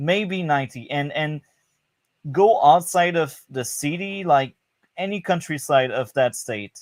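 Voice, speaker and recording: At a fairly slow pace, a man with a French Canadian accent talks at a fairly high pitch with lively intonation. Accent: French Canadian accent noted. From Quebec, Canada. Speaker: podcast guest. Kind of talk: casual chat. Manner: halting, repeats words.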